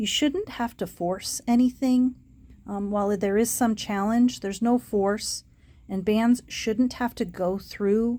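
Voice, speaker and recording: Over a silent background in a very clean recording, a woman speaks at a fairly slow pace in a fairly high pitch, her tone dark and mellow, somewhat breathy, with fairly even intonation. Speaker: puzzle ring seller demonstrating solutions. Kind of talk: tutorial. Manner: casual.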